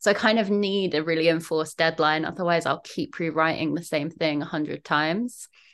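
Over a quiet background, a woman with a southern English accent speaks at a fairly quick pace, her fairly low pitch held to fairly even intonation. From southern England, London/Kent border. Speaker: poet and writer. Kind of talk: casual interview chat.

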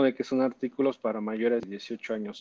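Recorded with a dry, close sound and no echo, a man is speaking. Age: 30s. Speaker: sex shop business owner. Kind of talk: interview. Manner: halting, repeats words.

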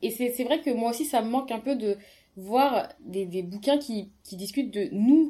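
A woman speaks at a moderate pace in a high voice with a dark, mellow tone, ordinary pitch variation, big swings in loudness, and long, frequent pauses. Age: 20s. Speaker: pharmaceutical engineer, book discussion guest. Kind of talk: casual book discussion.

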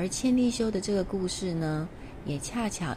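A woman's medium-pitched voice, gentle and warm in tone, with audible room echo. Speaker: tea ceremony teacher and podcast host. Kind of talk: casual storytelling monologue. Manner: gentle, warm.

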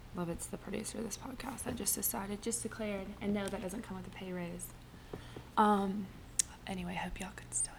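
Noticeable background noise runs under the recording. Over it, a woman speaks fairly quickly. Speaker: podcast host. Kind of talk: casual solo monologue. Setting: home. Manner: chatty.

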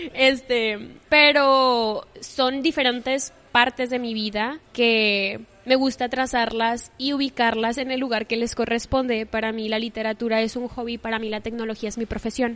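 Fairly slow and monotone, a woman speaks at a fairly high pitch with flat intonation. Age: 20s. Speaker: poetry content creator. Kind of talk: casual chat. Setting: coffee shop.

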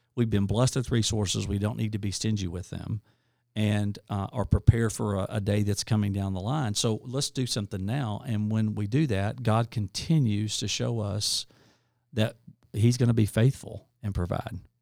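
A man with an Arkansas accent speaks at a moderate pace and a fairly low pitch, with fairly even intonation on a very clean recording with a silent background. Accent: Southern US (Arkansas). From US South, rural northeast Arkansas. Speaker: nonprofit leader. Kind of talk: interview. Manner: rambling, hesitant with fillers.

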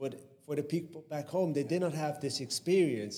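A man speaks in an unremarkable speaking voice, fairly high in pitch, with ordinary pitch variation. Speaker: podcast host. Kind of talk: interview.

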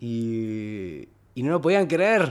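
A man's voice with very wide pitch swings. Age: 30s. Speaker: podcast guest. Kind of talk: casual chat.

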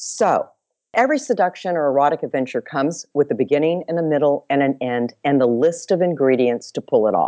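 A woman's very deep, low voice in a Texan accent, lively in intonation and at a fairly quick pace. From Texas, Dallas. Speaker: bestselling sex and seduction author. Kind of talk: casual interview chat. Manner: animated.

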